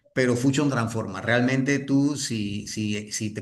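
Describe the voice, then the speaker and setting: At a fairly slow pace, a man speaks at medium pitch with ordinary pitch variation. Room echo is audible. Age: 60s. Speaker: network marketing leader and trainer. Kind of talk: motivational training talk. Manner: halting, with many restarts.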